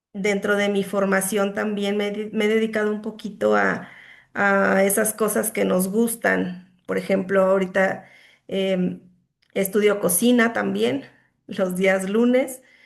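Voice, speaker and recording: The background is quiet as a woman speaks at a fairly slow pace. Her pitch is medium and her intonation fairly even. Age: 40s. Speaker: student and accountant. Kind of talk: self-introduction in online class. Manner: halting, many fillers.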